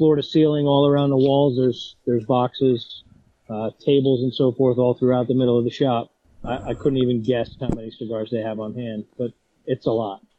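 A man with an ordinary speaking voice talks at medium pitch and a moderate pace, his intonation fairly even. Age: 40s. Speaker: cigar podcast remote panelist. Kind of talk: casual chat. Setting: remote call-in.

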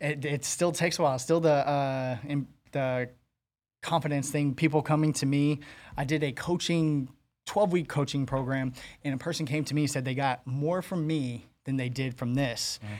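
A man with a plain, everyday voice, fairly high in pitch, at a moderate pace with fairly even intonation. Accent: American. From Arizona (Phoenix, Maryvale). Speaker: recovered addict turned entrepreneur. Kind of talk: interview.

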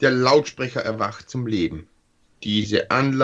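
The delivery is a natural reading voice.

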